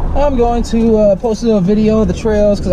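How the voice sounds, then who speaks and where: Noticeable background noise behind a man talking at a moderate pace. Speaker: vlogger. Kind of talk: casual vlog chat. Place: car. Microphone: phone near.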